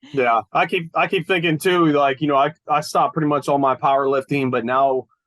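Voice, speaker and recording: At a fairly quick pace, a man with an unremarkable speaking voice and fairly high pitch speaks with very even loudness and ordinary pitch variation, in a dry, close recording with no echo. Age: 40s. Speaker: personal trainer, gym owner. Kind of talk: casual interview chat.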